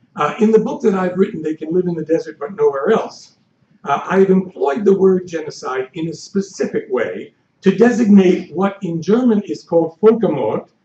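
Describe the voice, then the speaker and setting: Moderate pace from a man with a high pitch, ordinary pitch variation and audible room echo. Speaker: history professor. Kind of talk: lecture. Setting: stage with audience. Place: hall. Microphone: podium.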